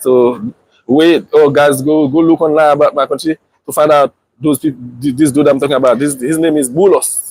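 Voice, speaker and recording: Heard dry and close with no echo, a man with a strong Haitian accent speaks at a moderate pace with fairly high pitch and fairly even intonation. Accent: strong Haitian Creole. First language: Haitian Creole. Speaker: family vlogger. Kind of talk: casual live stream chat. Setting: outdoors. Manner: halting, many repetitions.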